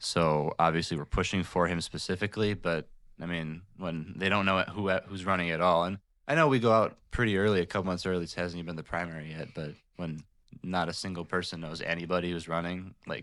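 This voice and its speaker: A man with a very deep, low voice and an Upper Midwest accent talks at a fairly quick pace with fairly even intonation, on a very clean recording with a silent background. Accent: Upper Midwest American. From Michigan, Jackson. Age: 20s. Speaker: local political group president. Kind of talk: casual interview. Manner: hesitant, many fillers.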